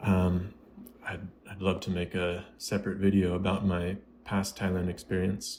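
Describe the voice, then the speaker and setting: Mumbling in an American accent, a man speaks with a very deep, low pitch and monotone, flat intonation. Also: moderate pace. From United States. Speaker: YouTuber doing gameplay commentary. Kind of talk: casual vlog over gameplay. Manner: mumbling, pauses between words.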